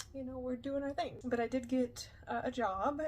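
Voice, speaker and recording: A woman speaks at a high pitch. Noticeable background noise can be heard. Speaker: streamer and YouTuber. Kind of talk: personal vlog testimony. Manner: fast; halting with many fillers.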